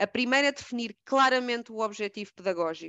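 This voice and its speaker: Fairly high-pitched female speech with normal intonation, delivered at a moderate speed. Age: 30s. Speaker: educator and trainer using art. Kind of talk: casual interview.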